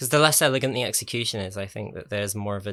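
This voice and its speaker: In an English accent, a man speaks with a bright, sharp tone, fairly low pitch and fairly even intonation. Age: 20s. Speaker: YouTuber. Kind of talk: casual chat. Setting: home, in own room. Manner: hesitant, many fillers.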